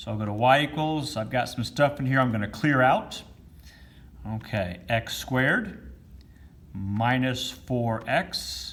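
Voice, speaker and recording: A man talks at a very slow pace in a medium pitch with lively intonation. Audible room echo surrounds his voice. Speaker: math teacher. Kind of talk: lecture.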